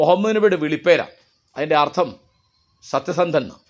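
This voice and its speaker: Against a quiet background, a man with a high pitch speaks with ordinary pitch variation. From Kerala, Kozhikode district (Mukkam area); Kerala. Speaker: writer and commentator; commentator. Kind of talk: monologue talk. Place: garden.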